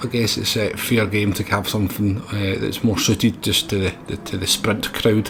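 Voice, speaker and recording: Noticeable background noise sits behind a voice speaking in a Scottish accent. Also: man. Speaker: sim racing video creator. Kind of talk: tutorial commentary.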